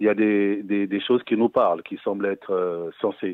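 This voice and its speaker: A man with an unremarkable speaking voice talks at a moderate pace in a fairly low pitch, with fairly even intonation. The sound is dry with no echo against a quiet background. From West Africa. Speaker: caller. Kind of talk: phone-in question. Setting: phone call. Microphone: phone line.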